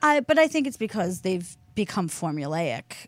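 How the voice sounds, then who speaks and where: A woman with a Philadelphia accent talks at a moderate pace and fairly low pitch, in a very clean recording with a silent background. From Delaware County, Pennsylvania (Philadelphia area). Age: 30s. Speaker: radio talk show co-host. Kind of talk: casual chat. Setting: radio studio.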